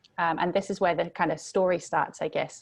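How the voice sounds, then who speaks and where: Against a quiet background, a woman speaks in a fairly low pitch with monotone, flat intonation. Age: 20s. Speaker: youth mentor and author. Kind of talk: interview.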